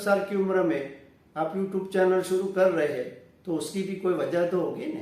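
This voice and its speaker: A man with a Gujarati accent and a high pitch, with noticeable background noise and audible room echo. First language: Gujarati (speaking Hindi). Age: 60s. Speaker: retired science teacher and motivational speaker. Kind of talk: self-introduction monologue.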